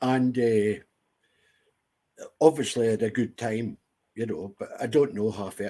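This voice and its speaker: Speaking at a moderate pace with long, frequent pauses, a man uses a medium-pitched, dark and mellow voice with ordinary pitch variation. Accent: Scottish. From Scotland, Ayr. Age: 70s. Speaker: veteran entertainer. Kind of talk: interview.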